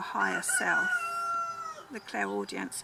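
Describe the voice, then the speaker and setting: The voice belongs to a woman. Behind her is noticeable background noise. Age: 70s. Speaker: psychic vlogger. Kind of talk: explanatory vlog monologue. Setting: outdoors in chicken patch. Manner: halting, with frequent fillers.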